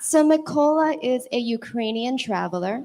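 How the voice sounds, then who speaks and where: A woman speaks with an American accent in an ordinary speaking voice. Her pitch is fairly high, with ordinary pitch variation. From California. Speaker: awards show presenter. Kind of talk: awards ceremony presenting.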